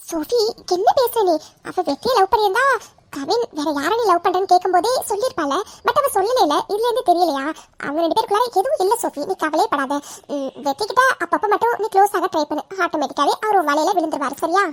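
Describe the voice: Squeaky and extremely high-pitched, a woman does a cartoonish character voice with lively intonation in a dry, close sound with no echo. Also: moderate pace.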